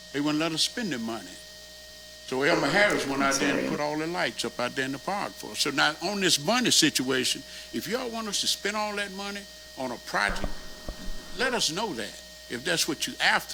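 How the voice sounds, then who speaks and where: A man with a fairly high pitch talks at a fairly quick pace, making very wide pitch swings. Noticeable background noise runs underneath. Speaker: neighborhood association officer. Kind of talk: public meeting comment. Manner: animated; loud. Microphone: far from the mic, not working.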